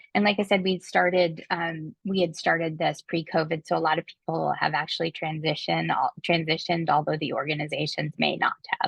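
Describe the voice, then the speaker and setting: A woman speaks at a fairly low pitch with vocal fry. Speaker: webinar presenter. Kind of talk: webinar screen-share walkthrough. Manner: hesitant, many fillers.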